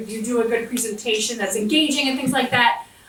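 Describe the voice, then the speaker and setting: Her American accent comes through as a woman speaks at a fairly high pitch. Audible room echo and noticeable background noise accompany her. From US South, southwestern West Virginia. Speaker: diplomat. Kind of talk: motivational talk to audience. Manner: animated.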